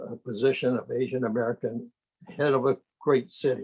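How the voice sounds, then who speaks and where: The sound is dry and close with no echo as a man speaks at a medium pitch in a somewhat breathy voice. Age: 90s. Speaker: retired politician. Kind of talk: speech at virtual town hall. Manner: halting.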